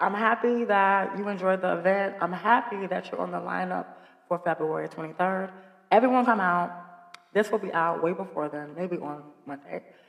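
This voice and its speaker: A woman talks at a moderate pace. Music can be heard behind her. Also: medium pitch for a woman, ordinary pitch variation. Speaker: podcast host. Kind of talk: casual chat.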